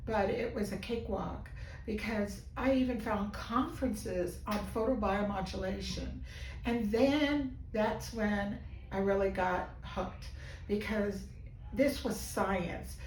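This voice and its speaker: Amid noticeable background noise and audible room echo, a woman speaks at a very slow pace. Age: 70s. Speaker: physical therapy patient giving a testimonial. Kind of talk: testimonial interview. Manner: animated.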